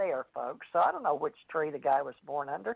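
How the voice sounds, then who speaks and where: A woman talks at a moderate pace. She has a Southern US accent. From US South. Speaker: radio host and psychic author. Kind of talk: radio talk show chat.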